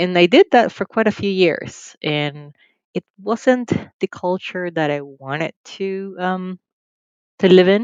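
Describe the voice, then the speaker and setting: A woman speaks very slowly at a medium pitch, in a Nicaraguan accent. Her pitch varies in an ordinary way. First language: Spanish. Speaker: financial firm CEO. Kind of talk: interview.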